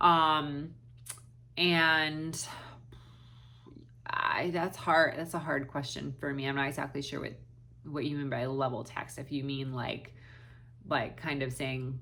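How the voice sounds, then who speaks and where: Amid audible room echo, a woman with a very deep, low pitch speaks fairly slowly and evenly, leaving long, frequent pauses. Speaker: special education teacher and reading tutor. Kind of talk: Q&A talk to camera. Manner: halting, many fillers.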